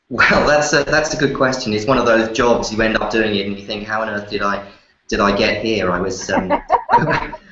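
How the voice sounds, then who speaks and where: Audible room echo around a man with an English accent, fairly low in pitch, fairly quick, with ordinary pitch variation. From London, England. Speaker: magazine editor. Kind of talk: interview. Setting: live show. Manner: halting, many fillers and repeats.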